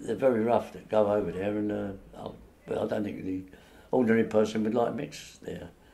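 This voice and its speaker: Speaking in a Cockney accent, a man uses a dark, mellow tone at a fairly low pitch. He keeps a fairly quick pace and fairly even intonation, with audible room echo. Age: 80s+. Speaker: local elder giving a walking tour. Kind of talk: oral history reminiscence. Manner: halting.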